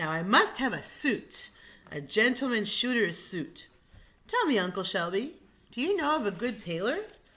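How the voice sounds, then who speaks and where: In a put-on character voice, a female-sounding speaker moves at a moderate pace with a fairly high pitch. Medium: read story.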